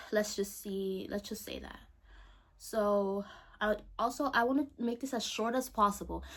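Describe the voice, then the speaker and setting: Speaking with a non-native accent, a woman keeps to a medium pitch. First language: not English. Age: young. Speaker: vlogger. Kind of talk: personal monologue to camera. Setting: bedroom, salt lamp lighting. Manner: rambling, trails off, halting.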